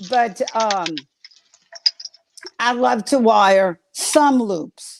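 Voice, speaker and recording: A woman speaks at a very slow pace with an American accent. Her pitch is fairly high, with ordinary variation. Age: 70s. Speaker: florist and wreath-making teacher. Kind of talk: casual chat. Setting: livestream. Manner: animated.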